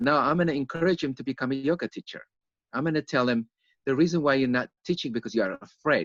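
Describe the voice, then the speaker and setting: A man speaks at a very fast pace with a non-native accent and a fairly high pitch. His pitch varies in an ordinary way, and the sound is dry and close with no echo. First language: not English. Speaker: yoga teacher. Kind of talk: interview. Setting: online live stream.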